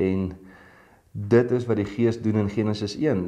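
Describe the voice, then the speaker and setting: A man speaks with a fairly low pitch and a dark, mellow tone. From South Africa. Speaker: pastor. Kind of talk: sermon. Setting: online video devotion. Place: studio. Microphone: lapel.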